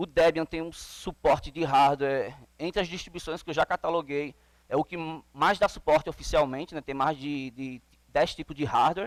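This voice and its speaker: A man's plain, everyday voice at fairly high pitch, moderate pace and fairly even intonation, with big swings in loudness and a dry, close sound with no echo. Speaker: conference speaker on Linux containers. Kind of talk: conference talk.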